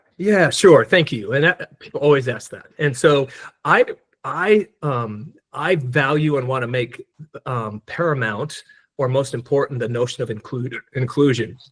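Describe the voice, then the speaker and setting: A somewhat breathy man with a fairly high pitch speaks at a fairly slow pace, his pitch varying in an ordinary way. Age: 60s. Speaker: DEI consultant and speaker. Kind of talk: presentation Q&A. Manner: halting, many repeated words.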